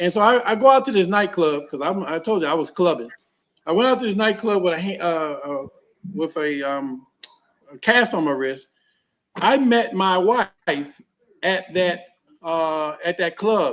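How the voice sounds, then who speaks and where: A man with an American accent speaks in a high voice with lively intonation at a moderate pace. He leaves long, frequent pauses. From Baltimore, Maryland, US. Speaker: former pro basketball player, sheriff's deputy. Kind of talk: talk show interview, personal storytelling. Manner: halting, with frequent repetitions.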